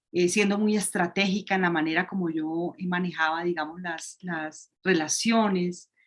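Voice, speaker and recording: This woman's voice sits at a fairly low pitch, moving at a fairly slow pace with fairly even intonation. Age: 50s. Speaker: astrology program guest. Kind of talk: casual interview. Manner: halting, with repetitions.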